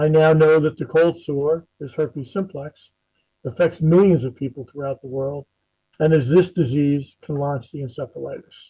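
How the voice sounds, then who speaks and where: Speaking with a New Jersey accent, the voice is somewhat breathy, with fairly even intonation at a moderate pace. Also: man, fairly high pitch for a man. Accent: New Jersey American. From New Jersey, US. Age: 60s. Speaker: encephalitis survivor, retired emergency manager. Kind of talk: personal testimony talk.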